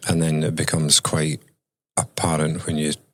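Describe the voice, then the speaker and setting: A man's very deep, low voice with a bright, sharp tone, in a Scottish accent. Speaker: mental health consultant. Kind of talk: interview.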